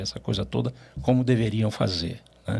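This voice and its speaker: The speech moves at a fairly slow pace with vocal fry. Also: man. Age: 70s. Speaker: finance executive. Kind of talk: interview. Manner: animated.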